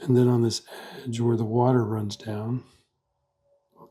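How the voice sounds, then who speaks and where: A soft-spoken man whispers at a moderate pace. His voice is somewhat breathy. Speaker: pen and ink artist. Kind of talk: drawing tutorial. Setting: home art studio. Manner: soft-spoken, half whispering.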